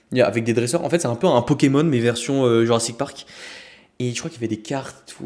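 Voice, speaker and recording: Medium in pitch with ordinary pitch variation, a man speaks at a fairly quick pace. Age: 20s. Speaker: podcast host and men's coach. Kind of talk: casual podcast talk. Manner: casual, hesitant.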